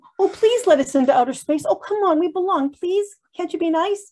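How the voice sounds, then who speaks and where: A woman uses a put-on character voice with an extremely high pitch. It sounds whiny and moves at a fairly quick pace. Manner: mocking, whiny.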